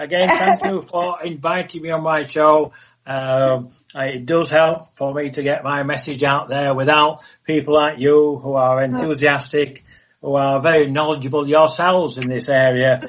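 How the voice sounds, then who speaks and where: The speech moves at a moderate pace. Its intonation is monotone and flat. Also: man, fairly high pitch for a man. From northern England. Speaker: author and retired police officer, UFO contactee. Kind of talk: radio interview.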